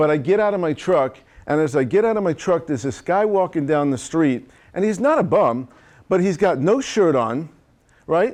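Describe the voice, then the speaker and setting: A man with a New York accent talks in an animated tone at a moderate pace, using a high voice with very wide pitch swings. The background is quiet. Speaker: chiropractor and marketing coach. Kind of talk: seminar talk to audience.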